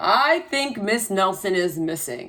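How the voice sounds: The voice is a natural reading voice. Its intonation is lively.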